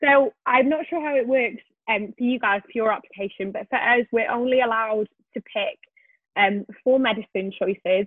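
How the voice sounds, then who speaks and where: Speaking at a moderate pace in a Welsh accent, a woman with a fairly high pitch and ordinary pitch variation makes big swings in loudness. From Wales. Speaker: medical student and YouTuber. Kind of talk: interview.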